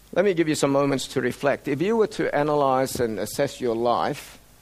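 A man with an Australian accent talks at a moderate pace. His intonation is lively. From Sydney, Australia (emigrated from Indonesia at 10). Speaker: mission organization director and medical doctor. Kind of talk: sermon-style talk to a church group.

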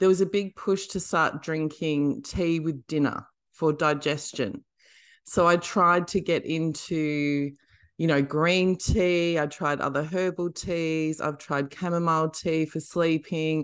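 Speaking fairly slowly in an Australian accent, a woman with a very deep, low pitch keeps her intonation fairly even over a quiet background. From Western Australia, country town. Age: 40s. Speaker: comedian and author. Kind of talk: casual chat.

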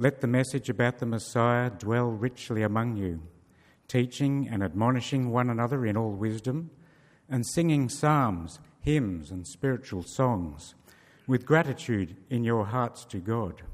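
A man with a plain, everyday voice talks at a medium pitch and a fairly slow pace with ordinary pitch variation in a very clean recording with a silent background. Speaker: scripture reader. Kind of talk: reading aloud. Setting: church.

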